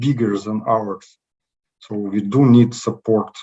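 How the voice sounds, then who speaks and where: This is a man speaking at a medium pitch. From Ukraine, Kharkiv. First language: Ukrainian or Russian. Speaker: IT consultant, war refugee. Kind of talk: interview. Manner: halting, many fillers.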